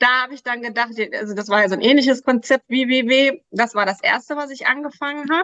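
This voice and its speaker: In a raised, projected voice, a woman talks very fast at a high pitch with a bright, sharp tone and ordinary pitch variation, in a dry, close sound with no echo. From Germany, Krefeld (Lower Rhine). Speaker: weight loss coach. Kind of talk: interview.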